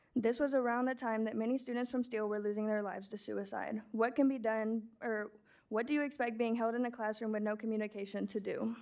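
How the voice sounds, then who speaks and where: In a very clean recording with a silent background, a woman with an American accent talks very fast at a fairly high pitch, her intonation monotone and flat. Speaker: public commenter, former student. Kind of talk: prepared public comment speech. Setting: school board meeting.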